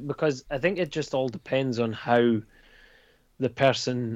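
Against a quiet background, a man with a Dundee accent speaks at a medium pitch with ordinary pitch variation and a dry, close sound with no echo. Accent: Scottish (Dundee). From Scotland. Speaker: comics creator. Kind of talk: casual chat.

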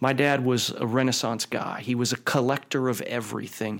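Monotone, flat intonation in a man's medium-pitched voice. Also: very clean recording, silent background. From Ohio, Youngstown. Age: 50s. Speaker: company chairman. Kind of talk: interview.

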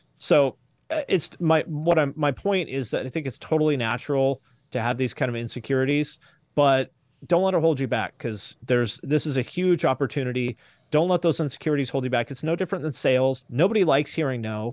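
With an unremarkable speaking voice, a man talks at a fairly quick pace, fairly high in pitch with ordinary pitch variation, in a dry, close sound with no echo. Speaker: YouTube creator and music commentator. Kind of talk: casual interview chat. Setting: video call. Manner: self-deprecating, humorous.

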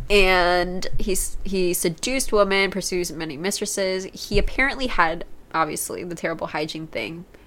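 A woman with an unremarkable speaking voice at a medium pitch, a moderate pace and ordinary pitch variation, with an American accent. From United States. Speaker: podcast co-host. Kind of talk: casual chat. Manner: laughs often.

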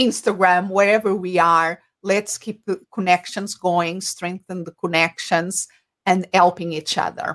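A woman with a Portuguese accent speaks at a fairly slow pace in a medium pitch, her intonation monotone and flat while her loudness swings widely. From Portugal. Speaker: business coach. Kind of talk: interview on livestream. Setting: video call. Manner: halting.

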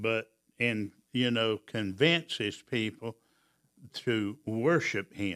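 This man talks very slowly. His pitch moves normally. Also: medium pitch for a man. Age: 70s. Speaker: church elder and co-host. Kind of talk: Bible study discussion.

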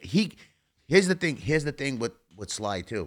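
Fairly quick and fairly high in pitch, a man's voice shows vocal fry and very wide pitch swings. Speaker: actor. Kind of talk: casual interview chat.

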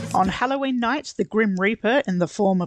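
Against a quiet background, a woman with an Australian accent talks at medium pitch with ordinary pitch variation. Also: dry, close sound with no echo. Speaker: podcast guest co-host. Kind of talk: casual chat; reading aloud.

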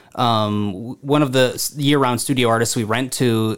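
A man speaks in an unremarkable speaking voice with an American accent. His pitch is medium, with ordinary pitch variation. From Southeast Minnesota (Harmony). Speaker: arts program director. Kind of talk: casual interview.

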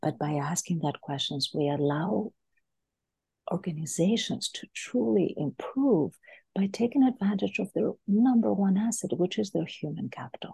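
A woman with a dark, mellow tone and vocal fry talks at a medium pitch and moderate pace, her pitch swinging very widely, in a dry, close sound with no echo. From Greece. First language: Greek. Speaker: leadership coach. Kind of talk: interview.

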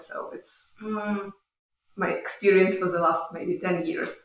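A woman with a Ukrainian accent speaks at a moderate pace. Her voice is medium in pitch with fairly even intonation. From Ukraine. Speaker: visiting social work scholar. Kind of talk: interview. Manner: halting.

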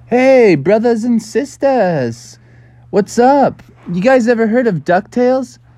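A man's put-on character voice, extremely high in pitch yet dark and mellow in tone, slow in pace and lively in intonation

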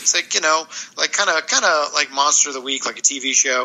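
Over noticeable background noise, a man talks very fast at a fairly high pitch. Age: 50s. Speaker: graphic novel author. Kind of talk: casual chat.

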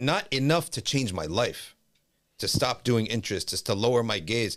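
On a very clean recording with a silent background, a man with a New Jersey accent speaks in an animated tone at a medium pitch and a moderate pace. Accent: New Jersey American. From US Northeast (New Jersey). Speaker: Islamic scholar and teacher. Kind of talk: podcast interview. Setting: studio, in person.

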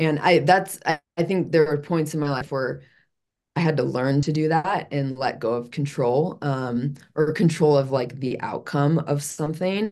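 A woman with an American accent speaks fairly slowly in a very deep, low voice with ordinary pitch variation. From US Midwest, Chicago. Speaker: fitness and wellness coach. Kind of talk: interview, personal life story. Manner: halting, many fillers and restarts.

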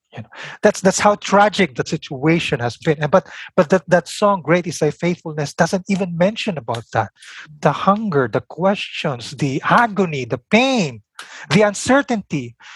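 A high-pitched man with a Filipino accent at a moderate pace, very wide pitch swings, a dry, close sound with no echo, and a very clean recording with a silent background. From Philippines. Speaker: biblical scholar and seminary teacher. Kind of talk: interview.

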